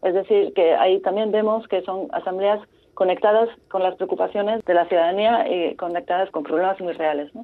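A woman speaks in an ordinary speaking voice at a moderate pace and medium pitch, with ordinary pitch variation. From French Basque Country. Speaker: deliberative democracy practitioner. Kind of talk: interview.

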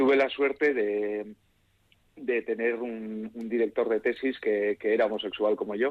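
A man speaks at a fairly slow pace with a medium pitch. It is a normal speaking voice, with fairly even intonation. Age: 40s. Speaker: physicist. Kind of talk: radio interview.

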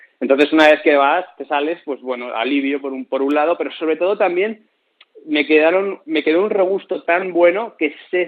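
Speaking at a moderate pace, a man has an unremarkable speaking voice with a fairly high pitch. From Spain. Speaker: traveler. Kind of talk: radio interview.

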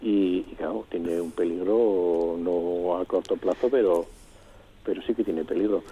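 A man with a very deep, low pitch, ordinary pitch variation and a fairly slow pace. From Vitoria-Gasteiz, Basque Country. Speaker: retired municipal gardening chief. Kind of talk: radio interview.

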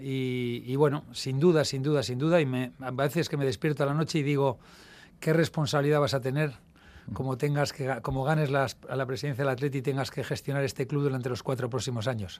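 A man speaks in an ordinary speaking voice at a medium pitch and a fairly quick pace. His intonation is fairly even, and the recording is very clean with a silent background. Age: 60s. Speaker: club presidential candidate. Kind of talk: radio interview.

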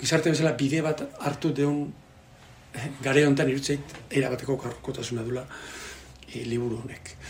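Through audible room echo and noticeable background noise, a man speaks with a fairly high pitch and a monotone, flat intonation. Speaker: translator and sports broadcaster. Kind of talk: book presentation talk. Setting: bookshop with audience. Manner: halting.

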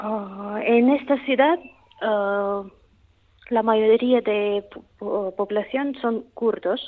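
Talking at a very slow pace with long, frequent pauses, a woman uses a fairly high pitch with ordinary pitch variation. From Russia. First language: Russian (speaking Spanish). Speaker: language teacher. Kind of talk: interview. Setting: phone call. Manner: halting.

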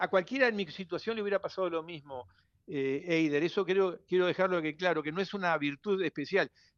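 In a Uruguayan accent, a man speaks at a moderate pace with a high pitch. His pitch variation is ordinary, and the sound is dry and close with no echo. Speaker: writer and journalist. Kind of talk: radio interview. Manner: halting, with many repetitions. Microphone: interference on the line.

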